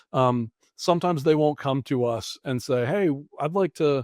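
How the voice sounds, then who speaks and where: A man with an American accent and an ordinary speaking voice talks at a moderate pace, fairly high in pitch with ordinary pitch variation. The recording is very clean with a silent background and a dry, close sound with no echo. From New England, Massachusetts. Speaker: finance professional and mission worker. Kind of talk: interview.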